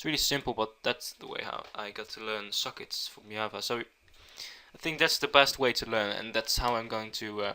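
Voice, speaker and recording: A man with a Dutch accent talks with hardly any pauses. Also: moderate pace, big swings in loudness. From Netherlands. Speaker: programming tutor. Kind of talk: tutorial. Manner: halting.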